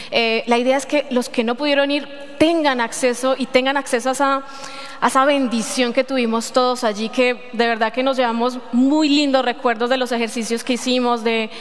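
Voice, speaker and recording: Over noticeable background noise, a woman with a high voice speaks at a moderate pace in a monotone, flat intonation. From Colombia, Medellín. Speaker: lay preacher. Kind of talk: sermon. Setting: church. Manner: halting.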